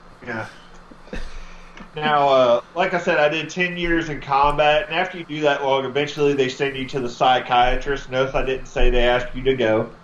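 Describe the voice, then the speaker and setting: With a Southern US accent and fairly even intonation, the speaker keeps a moderate pace amid audible room echo. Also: man, fairly high pitch for a man. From Texas. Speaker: comedian, army veteran. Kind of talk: stand-up.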